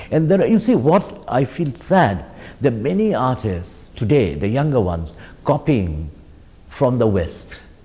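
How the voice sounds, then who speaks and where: Speaking at a fairly slow pace, a man with a dark, mellow tone and vocal fry stays at a medium pitch but makes very wide pitch swings. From India, Orissa. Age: 60s. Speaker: artist. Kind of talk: interview.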